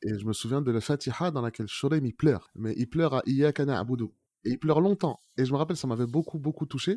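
Words come out at a very fast pace, and the pitch varies in an ordinary way. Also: man, medium pitch for a man. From France, Moroccan family. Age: 30s. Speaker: Quran learner. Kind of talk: testimony. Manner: halting, many fillers.

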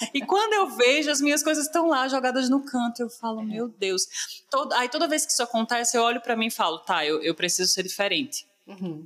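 Noticeable background noise sits behind a woman who speaks at a fairly quick pace in a high pitch with very wide pitch swings. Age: 20s. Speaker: podcast host, public relations professional. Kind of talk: interview.

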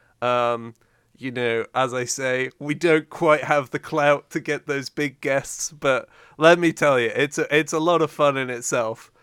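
An ordinary speaking voice with fairly even intonation comes through a very clean recording, dry and close with no echo against a silent background. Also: man, fairly high pitch for a man. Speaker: podcast co-host. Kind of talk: casual chat.

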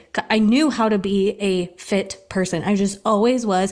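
A woman speaks in an animated tone at a medium pitch. Her pace is fairly slow. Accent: American. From US Midwest. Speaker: health and fitness coach, podcast host. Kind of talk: casual chat.

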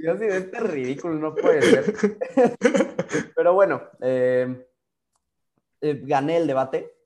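A man with a Mexican accent, animated in tone, at a fairly slow pace. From Mexico. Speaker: photographer. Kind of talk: interview conversation.

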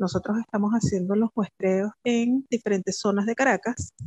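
Speaking slowly with fairly even intonation, a woman at medium pitch has a plain, everyday voice in a dry, close recording with no echo. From Venezuela, Pariaguán, southern Anzoátegui. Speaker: microbiology professor and researcher. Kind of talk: interview.

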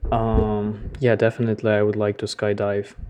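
The voice carries a Ukrainian accent. Its intonation is monotone and flat. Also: man. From Ukraine. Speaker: podcast co-host, English learner. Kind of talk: casual chat, answering listener questions. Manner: halting, searching for words.

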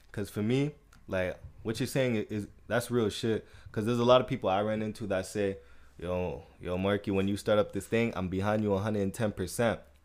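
On a very clean recording with a silent background, a man with an unremarkable speaking voice talks at a fairly low pitch and a fairly quick pace. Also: fairly even intonation. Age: 20s. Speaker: podcast host. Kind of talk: casual chat.

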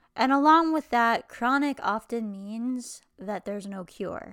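With an unremarkable speaking voice, a woman talks at a fairly slow pace, fairly high in pitch and with lively intonation. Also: very clean recording, silent background. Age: 20s. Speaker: podcast host with chronic illness. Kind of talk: solo vlog monologue.

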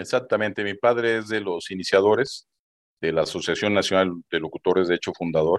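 A man with an unremarkable speaking voice talks at a fairly low pitch with ordinary pitch variation, the sound dry and close with no echo against a quiet background. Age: 50s. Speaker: retired telecom worker and businessman. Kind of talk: interview.

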